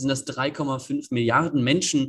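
A man speaks at a medium pitch with ordinary pitch variation and a somewhat breathy sound. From northeastern Germany, Greifswald. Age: 20s. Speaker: climate activist and student. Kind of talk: interview.

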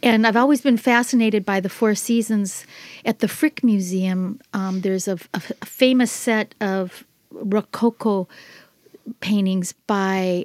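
In a plain, everyday voice, a woman with an American accent speaks at a fairly slow pace with fairly even intonation, the sound dry and close with no echo. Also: medium pitch for a woman. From US Midwest, Minnesota. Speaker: artist. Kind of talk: casual interview chat. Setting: studio.

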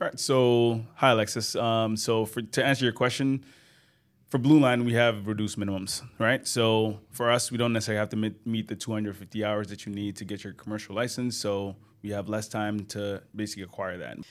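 In a very clean recording with a silent background, a man with a fairly low pitch talks at a fairly quick pace in a monotone, flat intonation. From Ghana. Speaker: flight instructor. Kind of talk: casual chat.

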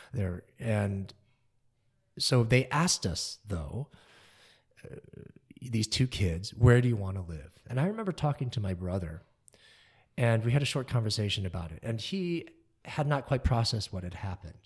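A somewhat breathy, medium-pitched man with an American accent, lively intonation, a moderate pace and long, frequent pauses, on a very clean recording with a silent background. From US Midwest, Kalamazoo, Michigan. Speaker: concert pianist. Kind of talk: interview. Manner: animated.

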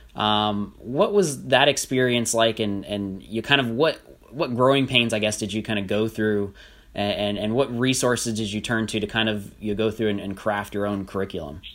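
A man with an American accent, a normal speaking voice and a fairly low pitch talks at a moderate pace with ordinary pitch variation on a very clean recording with a silent background. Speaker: podcast host and teacher. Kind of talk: casual podcast monologue. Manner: frequent fillers like uh and um.

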